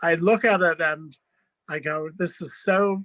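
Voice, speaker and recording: A man with an American accent, high-pitched and bright, sharp in tone, at a very slow pace. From New York. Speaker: writer, curator and teacher. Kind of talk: conversational interview. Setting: video call from his apartment.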